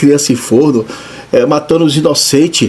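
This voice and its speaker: There is noticeable background noise behind this man's speech. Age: 60s. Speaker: pastor. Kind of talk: sermon. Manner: animated; halting.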